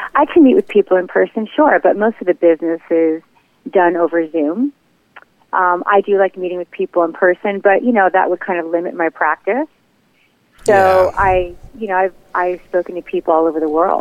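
Using a plain, everyday voice, a woman talks at a fairly quick pace. Her medium pitch shows ordinary pitch variation. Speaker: hypnotherapist. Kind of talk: casual business interview.

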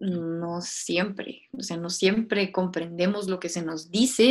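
Her pitch is medium and varies in an ordinary way as the woman talks. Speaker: podcast co-host. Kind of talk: casual philosophical chat.

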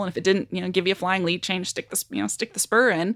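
A woman with a Western Canadian accent and vocal fry, ordinary pitch variation, a dry, close sound with no echo, and a very clean recording over a silent background. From Canada, Nelson, British Columbia. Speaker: horse trainer. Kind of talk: interview conversation.

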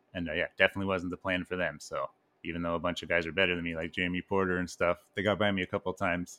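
Talking at a very fast pace, a man with a very deep, low pitch has a bright, sharp tone, recorded very cleanly against a silent background with a dry, close sound and no echo. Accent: Canadian. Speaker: podcast co-host. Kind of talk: casual chat.

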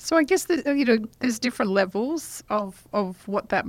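On a very clean recording with a silent background, a woman with an Australian accent talks at a fairly quick pace. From Western Australia. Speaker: professor. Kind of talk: casual chat. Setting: studio.

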